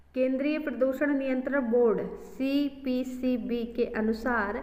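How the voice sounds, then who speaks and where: The speaker goes at a very slow pace in a monotone, flat delivery, with noticeable background noise and audible room echo. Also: woman. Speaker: exam prep teacher. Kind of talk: tutorial.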